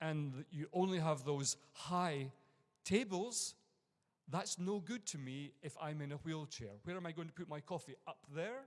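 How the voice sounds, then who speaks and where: In an Edinburgh accent, a man speaks at a fairly slow pace with lively intonation. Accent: Scottish (Edinburgh). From Scotland, Edinburgh. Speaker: university lecturer and conference speaker. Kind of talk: conference talk. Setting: conference room with audience.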